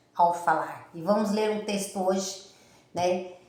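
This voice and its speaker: Audible room echo surrounds a woman speaking in an animated tone. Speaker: preacher. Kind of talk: sermon.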